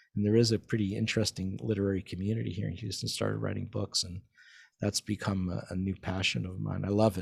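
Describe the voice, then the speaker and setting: The recording is very clean, with a silent background. A man speaks at a fairly low pitch in a somewhat breathy voice with fairly even intonation. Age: 60s. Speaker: vaccine scientist and physician. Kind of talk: interview conversation. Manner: halting, many repetitions.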